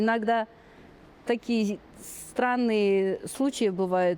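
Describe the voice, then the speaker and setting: A woman with a slight non-native accent talks at a fairly slow pace with ordinary pitch variation. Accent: slight non-Russian accent in Russian. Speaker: podcast guest, Kazakh language learner. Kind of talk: interview. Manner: halting.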